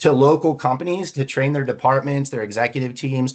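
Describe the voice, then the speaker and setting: Against a quiet background, a man talks at a fairly quick pace with a fairly high pitch. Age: 40s. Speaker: leadership speaker and recruiter. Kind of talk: webinar presentation. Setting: virtual seminar, seated at screen. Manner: fast; animated.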